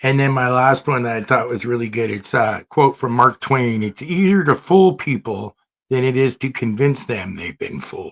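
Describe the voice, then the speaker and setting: A man with a normal speaking voice at medium pitch, lively in intonation, in a dry, close sound with no echo. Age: 60s. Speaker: podcast host. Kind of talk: casual chat.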